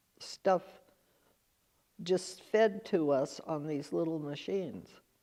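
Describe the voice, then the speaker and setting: A woman's fairly low, dark and mellow voice with a West Coast accent, at a very slow pace. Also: ordinary pitch variation. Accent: American West Coast. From Northern California. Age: 90s. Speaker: oral history interviewee. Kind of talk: interview; narration over photos. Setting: museum auditorium.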